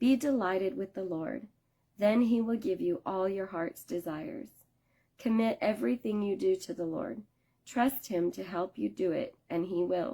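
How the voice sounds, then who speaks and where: Using a put-on character voice, a woman speaks raspily at a medium pitch and moderate pace with lively intonation. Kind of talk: devotional scripture reading. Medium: solo performance. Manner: measured, reverent.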